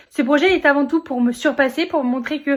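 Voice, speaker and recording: At a fairly quick pace, a woman speaks at a high pitch with ordinary pitch variation. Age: 20s. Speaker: vlogger and amateur open-water swimmer. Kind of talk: personal vlog narration. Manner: hesitant, many fillers.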